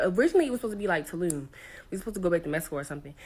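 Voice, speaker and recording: A woman's animated, medium-pitched voice at a very fast pace. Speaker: content creator and solo traveler. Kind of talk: storytime.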